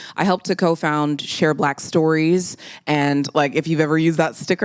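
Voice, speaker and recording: Ordinary pitch variation from a normal speaking voice, moving at a moderate pace on a very clean recording over a silent background. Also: woman. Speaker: voice actor. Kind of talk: interview answer.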